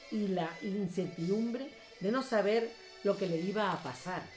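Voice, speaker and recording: A woman's voice, medium in pitch, is heard with music playing behind it. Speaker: writer who recites her own work. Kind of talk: narrative story reading.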